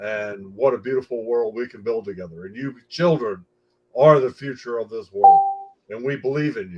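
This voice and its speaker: A man talks at a moderate pace with a medium pitch and ordinary pitch variation. His loudness swings widely, in a normal speaking voice. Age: 60s. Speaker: foundation spokesperson. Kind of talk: panel discussion remarks.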